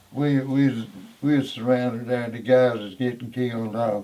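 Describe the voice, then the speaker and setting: Over noticeable background noise, a man of medium pitch speaks at a fairly slow pace. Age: 80s+. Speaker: war veteran. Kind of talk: interview answer. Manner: rich and compelling detail.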